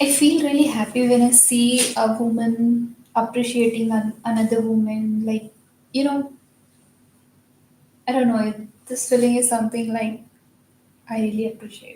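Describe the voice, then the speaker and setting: Her fairly high voice monotone and flat, a woman speaks with long, frequent pauses. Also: moderate pace. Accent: non-native. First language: not English. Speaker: video editor vlogging while working. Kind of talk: casual monologue while working. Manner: halting.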